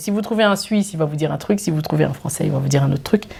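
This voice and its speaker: A woman's animated tone with ordinary pitch variation amid noticeable background noise. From Switzerland, Geneva. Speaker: YouTuber. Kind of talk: casual Q&A vlog.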